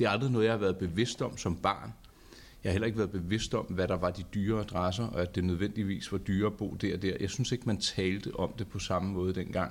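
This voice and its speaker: Here is a man with a normal speaking voice, pitched fairly low. He talks fairly quickly with fairly even intonation. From Charlottenlund, north of Copenhagen, Denmark. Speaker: podcast host. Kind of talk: casual chat. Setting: studio.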